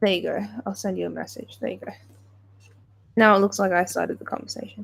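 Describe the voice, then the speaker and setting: A woman speaks with a British accent. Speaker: livestreamer. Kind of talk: casual chat. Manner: halting.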